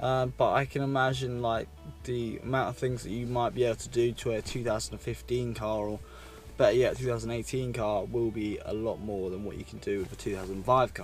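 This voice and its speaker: A man talks at a moderate pace. Faint music plays in the background, and the sound is dry with no echo. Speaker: car vlogger. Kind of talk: casual vlog chat. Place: car.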